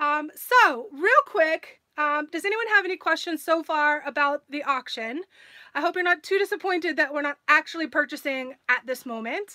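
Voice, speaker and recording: Over a quiet background, a raised, projected voice with a bright, sharp tone moves at a moderate pace with lively intonation. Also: woman. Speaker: live stream host. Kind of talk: casual live stream chat. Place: home room. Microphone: phone near.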